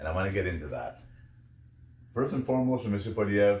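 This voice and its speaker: A man's voice, very deep and low, carries vocal fry. His intonation is lively. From Canadian prairies. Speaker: podcaster. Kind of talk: podcast monologue. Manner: halting, filler-heavy.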